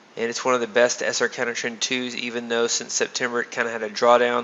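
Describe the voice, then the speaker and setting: Very fast speech from a man, noticeable background noise behind it. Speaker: trading system developer giving webinar. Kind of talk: screen-share tutorial. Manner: casual with fillers.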